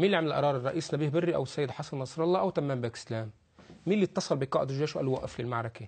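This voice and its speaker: At a very fast pace, a somewhat breathy man with fairly high pitch and ordinary pitch variation speaks over a quiet background. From Lebanon. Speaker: political analyst. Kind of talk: TV talk show interview. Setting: studio. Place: studio. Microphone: lapel.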